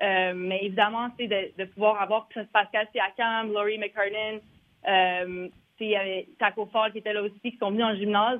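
This woman speaks fairly slowly at a medium pitch. Her intonation is monotone and flat. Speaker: former basketball player, league staffer. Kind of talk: interview.

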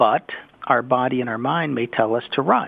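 A man's unremarkable speaking voice at medium pitch and moderate pace. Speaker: city council member. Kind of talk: radio interview.

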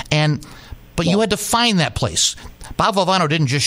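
The man's pace is fairly quick. He has an American accent. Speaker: sports broadcaster. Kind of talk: casual chat. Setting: studio. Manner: fast.

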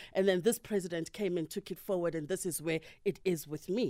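On a very clean recording with a silent background, a woman at medium pitch with a dark, mellow tone talks at a very fast pace with ordinary pitch variation. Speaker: political analyst. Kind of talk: radio interview. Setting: radio studio.

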